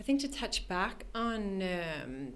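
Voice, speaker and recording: A woman speaks at a medium pitch in a Canadian accent, with ordinary pitch variation. There is audible room echo. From Canada, Toronto. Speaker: art and architecture entrepreneur. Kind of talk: podcast interview.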